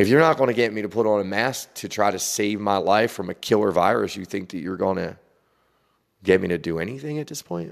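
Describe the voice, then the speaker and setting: In a very clean recording with a silent background, a man with a normal speaking voice talks at a fairly quick pace and a fairly low pitch. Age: 40s. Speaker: spiritual podcaster. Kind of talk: spiritual monologue. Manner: meandering, conversational.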